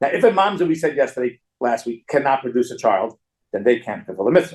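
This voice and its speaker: At a very fast pace, a man speaks in a fairly high pitch that swings very widely. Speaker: rabbi teaching a Talmud class. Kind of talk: lecture.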